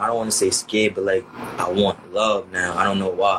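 A man talks in a monotone, flat intonation with an American accent. Noticeable background noise runs underneath. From Queens, New York City. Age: 20s. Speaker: rapper. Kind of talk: casual interview.

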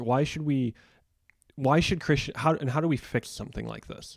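Using an ordinary speaking voice with an American accent, a man talks at a moderate pace in a fairly high pitch with ordinary pitch variation. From Chicago, US Midwest. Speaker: podcast host. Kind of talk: interview.

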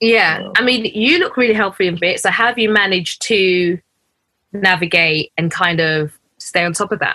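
With a London accent, a woman speaks at a moderate pace in a medium pitch, her tone bright and sharp, her pitch variation ordinary and her loudness very even. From UK, Ugandan family. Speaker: podcast host. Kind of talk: casual chat.

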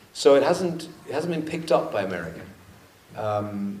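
Noticeable noise sits behind the voice. The delivery keeps a moderate tempo. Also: man. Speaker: documentary photographer and film director. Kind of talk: panel Q&A conversation on stage. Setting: stage with audience.

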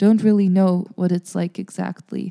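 With an American accent, a woman speaks in a dark, mellow tone and monotone, flat intonation, in a dry, close sound with no echo. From US Northeast (New Jersey, Bergen County). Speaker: jazz singer and music student. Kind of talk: casual interview.

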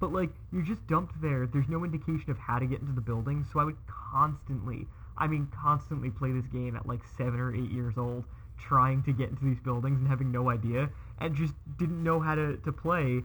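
A man with an ordinary speaking voice talks at a fairly quick pace, with a medium pitch and ordinary pitch variation. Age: 30s. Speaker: childhood friend of the host. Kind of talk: casual chat.

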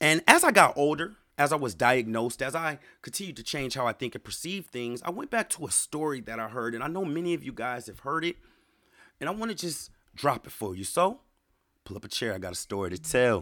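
Bright, sharp and animated, a man's fairly high voice carries an American accent, vocal fry and very wide pitch swings. He speaks at a fairly quick pace on a very clean recording with a silent background. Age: 30s. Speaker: podcast host. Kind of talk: solo monologue podcast.

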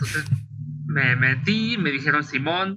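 A man speaks with a Mexican accent at a fairly high pitch. His tone is bright and sharp. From Mexico, provinces. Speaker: illustrator and webcomic author. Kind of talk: interview.

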